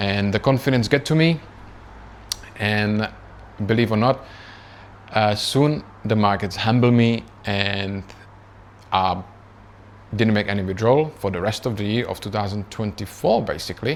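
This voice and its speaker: A man with a Czech accent and a fairly low pitch speaks at a moderate pace with ordinary pitch variation and long, frequent pauses. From Czech Republic. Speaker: trading youtuber. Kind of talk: casual personal story vlog. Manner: conversational with many fillers.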